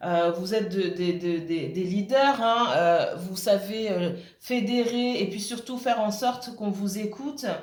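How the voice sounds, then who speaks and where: Amid noticeable background noise and audible room echo, a woman with a medium pitch speaks at a fairly slow pace with ordinary pitch variation. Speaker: tarot reader. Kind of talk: tarot reading monologue. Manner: halting, many fillers.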